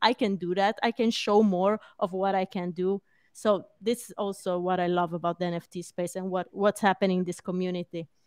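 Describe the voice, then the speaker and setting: A woman with a non-native accent speaks at medium pitch and a moderate pace, her intonation fairly even, in a dry, close sound with no echo and a quiet background. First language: not English. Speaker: podcast co-host. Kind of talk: casual chat.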